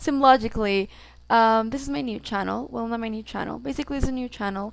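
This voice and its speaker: On a very clean recording with a silent background, a woman with a Mexican accent talks very fast at a fairly high pitch with ordinary pitch variation. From Mexico. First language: Spanish. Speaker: gaming YouTuber. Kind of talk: casual vlog introduction. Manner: rambling, filler-heavy casual speech.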